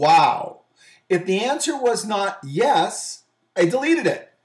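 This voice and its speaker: Animated in tone, a man's voice swings very widely in pitch. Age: 50s. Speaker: business show host and lean speaker. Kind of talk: video monologue introducing a photo series.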